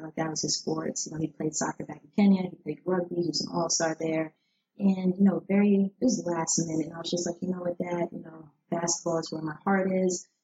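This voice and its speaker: In an American accent, a woman speaks at a fairly quick pace with fairly even intonation. Hers is a normal speaking voice, fairly low in pitch. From New Jersey. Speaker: former basketball player and sports nonprofit founder. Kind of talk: casual interview.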